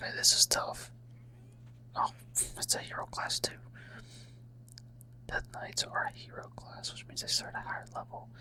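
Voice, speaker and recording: The voice is whispering. Noticeable background noise is present. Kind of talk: ASMR gaming ramble. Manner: whispered.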